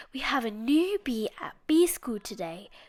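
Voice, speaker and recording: A woman performs a put-on character voice at a high pitch. She moves at a moderate pace with very wide pitch swings. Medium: read story.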